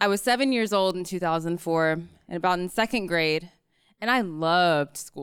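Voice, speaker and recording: On a very clean recording with a silent background, an unremarkable speaking voice proceeds at a moderate pace, its pitch variation ordinary. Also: woman. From rural North Carolina. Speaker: psychology PhD student. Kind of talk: live storytelling. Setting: stage with audience.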